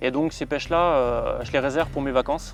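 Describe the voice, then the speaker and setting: A man speaks in a fairly high pitch at a fairly quick pace. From France (Savoie). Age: 30s. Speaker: carp angler. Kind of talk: outdoor fishing vlog narration. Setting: outdoors at a reservoir lake. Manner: hesitant, many fillers.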